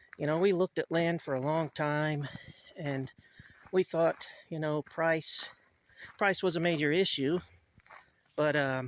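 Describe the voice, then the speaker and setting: A man speaks at a fairly slow pace with a fairly high pitch and fairly even intonation. Long, frequent pauses break his speech, and the sound is dry and close with no echo. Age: 60s. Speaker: off-grid homesteader vlogger. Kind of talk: casual vlog monologue. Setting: outdoors. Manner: halting with repetitions and fillers.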